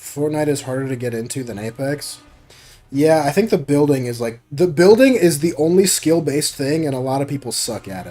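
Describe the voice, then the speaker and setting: Over music in the background, a man with a fairly high pitch talks at a fairly quick pace, his intonation lively and his loudness swinging a lot. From Oregon, US. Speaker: gaming streamer. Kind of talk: casual live-stream chat. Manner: quiet.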